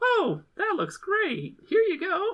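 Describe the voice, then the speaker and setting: A squeaky put-on character voice is heard. Its pitch is extremely high. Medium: actual play. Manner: friendly, bubbly.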